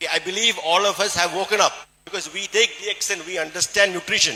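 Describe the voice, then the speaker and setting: A high-pitched man's voice with a Keralan accent, fairly quick pace. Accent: Indian English (Malayali). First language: Malayalam. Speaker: surgeon and motivational speaker. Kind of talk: presentation to an audience. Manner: halting, with many fillers.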